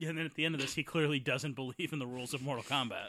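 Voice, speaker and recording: A man's fairly high, bright and sharp voice, very fast and animated, on a very clean recording with a silent background. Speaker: movie commentary host. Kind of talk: casual comedic movie riffing. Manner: jokey, animated, sarcastic.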